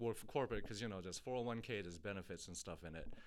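A man with a Thai accent. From Thailand, moved to Texas at eleven. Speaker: fitness coach and gym owner. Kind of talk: interview.

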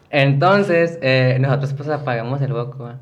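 Audible room echo hangs around a man talking in a medium pitch. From Mexico, Coahuila. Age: 20s. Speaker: content creator. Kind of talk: casual chat.

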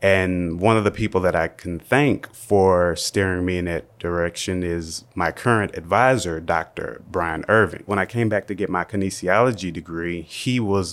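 Speaking at a moderate pace with hardly any pauses, a man uses a very deep, low pitch and fairly even intonation. The recording is very clean, with a silent background. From Louisiana, Baton Rouge. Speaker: PhD student and former college football player. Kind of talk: interview.

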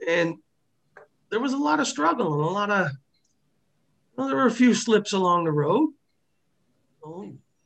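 A man with a Canadian accent and a high voice speaks at a moderate pace, taking long, frequent pauses while his pitch swings very widely. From central Ontario, Canada. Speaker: former prisoner. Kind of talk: interview testimony.

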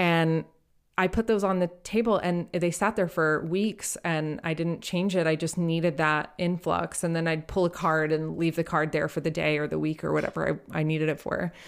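A woman with a plain, everyday voice speaks at a fairly low pitch and a moderate pace. Her intonation is fairly even, her loudness very even, and the recording very clean with a silent background. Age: 30s. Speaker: podcast co-host on magic history. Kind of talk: casual chat.

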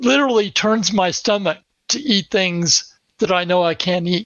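A high-pitched male voice. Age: 50s. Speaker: podcast host and rare disease patient. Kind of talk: interview.

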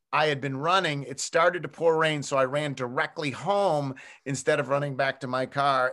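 In an American accent, a man talks in a normal speaking voice, fairly high in pitch with ordinary variation, against a quiet background. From Buffalo, New York. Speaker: sports columnist and radio host. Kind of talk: casual interview.

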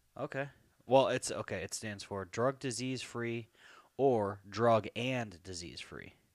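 A man speaks in an ordinary speaking voice at a medium pitch with ordinary pitch variation and a fairly slow pace, recorded very cleanly against a silent background. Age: 30s. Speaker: podcast co-host and football coach. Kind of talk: casual chat.

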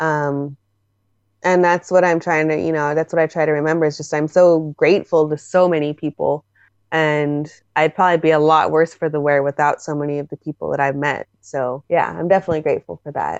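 A woman speaks at a fairly quick pace in a monotone, flat intonation. Her pitch is very deep and low. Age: 30s. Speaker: gamer and streamer. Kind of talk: casual interview. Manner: loud.

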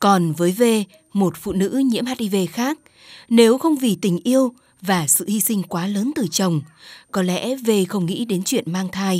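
A woman with an ordinary speaking voice talks at a fairly slow pace and medium pitch, her intonation lively. The recording is very clean, the background silent. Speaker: radio program host. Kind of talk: scripted narration.

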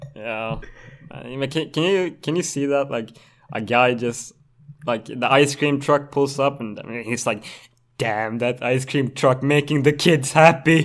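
On a very clean recording with a silent background, a man with a Swedish accent speaks at a fairly slow pace in a fairly high pitch with ordinary pitch variation. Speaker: moped stunt rider and YouTuber. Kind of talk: casual chat.

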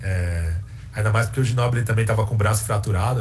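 The pace is very fast, with ordinary pitch variation. Audible room echo surrounds the voice. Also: man. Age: 30s. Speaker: sports journalist. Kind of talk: casual chat.

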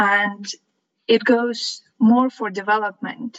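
This woman's fairly high voice moves through an ordinary range of pitch. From Lithuania. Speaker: music teacher and entrepreneur. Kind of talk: interview conversation.

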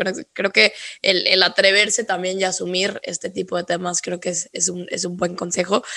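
A woman is speaking. Her tone is bright and sharp. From northern Mexico. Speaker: podcast host. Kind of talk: interview.

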